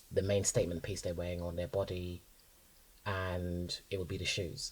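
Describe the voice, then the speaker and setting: In a London accent, a man speaks at a moderate pace with a very deep, low pitch, somewhat breathy and in a monotone, flat intonation. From North London. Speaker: designer and stylist. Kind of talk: casual interview chat.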